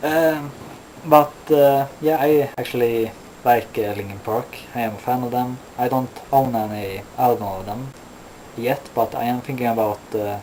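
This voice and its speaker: Fairly slow, medium-pitched speech from a man, ordinary pitch variation, noticeable background noise behind it. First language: not English. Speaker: metal vlogger. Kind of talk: casual vlog monologue. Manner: halting, many fillers.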